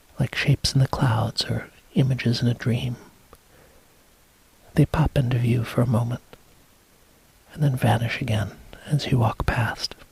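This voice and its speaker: Long, frequent pauses against noticeable background noise. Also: moderate pace. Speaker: hypnotist, hypnosis induction guide. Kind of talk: hypnotic induction, guided trance script.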